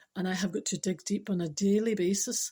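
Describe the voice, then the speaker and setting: A somewhat breathy woman's voice, medium in pitch, with a dark, mellow tone, on a very clean recording with a silent background. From Scotland. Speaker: spiritual speaker. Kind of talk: casual talk to camera.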